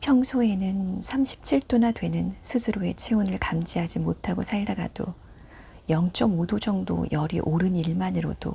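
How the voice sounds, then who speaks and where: Soft-spoken, this speaker proceeds rather slowly. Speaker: book narrator. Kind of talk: prose reading, ASMR. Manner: quiet, soft-spoken.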